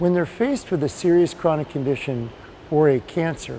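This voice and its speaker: Through noticeable background noise, a man speaks at a fairly high pitch and moderate pace with ordinary pitch variation. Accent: American. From United States. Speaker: patient advocate. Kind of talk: interview.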